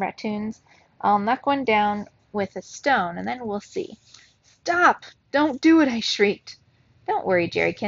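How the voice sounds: Lively intonation colors what is a natural reading voice.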